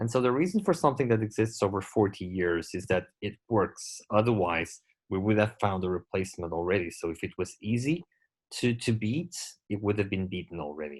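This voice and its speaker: At a fairly quick pace, a man with a Portuguese accent speaks in a fairly low voice. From Portugal. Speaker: glaucoma surgeon. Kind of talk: lecture. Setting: webinar.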